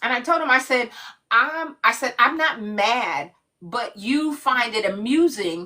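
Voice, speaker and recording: A woman speaks in a raised, projected voice with a bright, sharp tone. Her delivery is animated, and her pitch swings very widely. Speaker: live stream host. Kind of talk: casual chat. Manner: loud.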